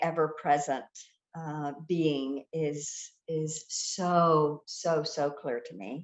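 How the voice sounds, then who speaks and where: Speaking with an American accent at a very slow pace, a woman uses a very deep, low pitch, fairly even intonation and big swings in loudness. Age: 60s. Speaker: therapist. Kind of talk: podcast interview. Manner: hesitant, many fillers.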